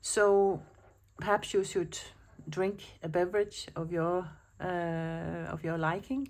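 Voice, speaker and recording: A woman talks at a fairly slow pace. She has a Danish accent. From Denmark. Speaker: planner vlogger. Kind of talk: casual chat. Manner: hesitant, with fillers.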